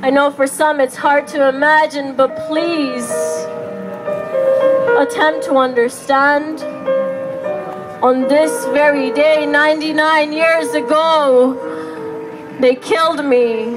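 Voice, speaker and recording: Clear music plays in the background while the speaker goes at a very slow pace. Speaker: spoken word poet. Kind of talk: spoken word poetry performance. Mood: grieving, defiant, passionate. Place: stage. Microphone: camera far.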